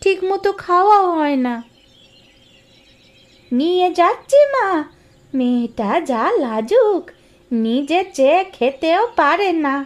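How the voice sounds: A woman puts on a cartoonish character voice at an extremely high pitch, with a gentle, warm tone. Her pitch swings very widely as she talks at a very slow pace.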